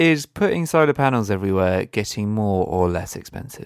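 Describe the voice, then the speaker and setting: With a British accent, a man speaks in a fairly low voice with lively intonation. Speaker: environmental podcast co-host. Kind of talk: casual chat.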